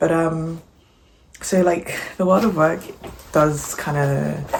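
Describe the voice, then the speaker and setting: Noticeable background noise and audible room echo fill this recording of a woman. Her pitch varies in an ordinary way. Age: 20s. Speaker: vlogger. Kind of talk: vlog voiceover. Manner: low energy; casual, filler-heavy.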